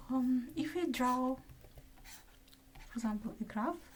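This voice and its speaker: A high-pitched woman's voice with lively intonation and a non-native accent. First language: not English. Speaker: math student. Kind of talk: math lecture.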